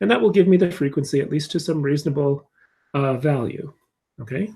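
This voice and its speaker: The voice has a dark, mellow tone, is somewhat breathy, and shows ordinary pitch variation. The recording is very clean, with a silent background. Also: man, fairly high pitch for a man. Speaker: physics teacher. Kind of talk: tutorial. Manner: halting.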